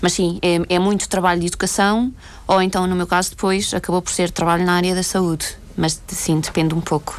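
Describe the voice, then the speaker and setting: A woman talks at a fairly quick pace with a fairly low pitch. Her intonation stays monotone and flat. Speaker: former volunteer aid worker. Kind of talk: radio interview.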